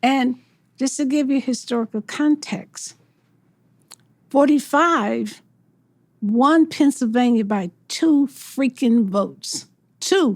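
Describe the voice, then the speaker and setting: Speaking very slowly with long, frequent pauses, a woman with an American accent uses a high-pitched voice and ordinary pitch variation, captured on a very clean recording with a silent background. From US South. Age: 70s. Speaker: mayoral candidate. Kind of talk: interview.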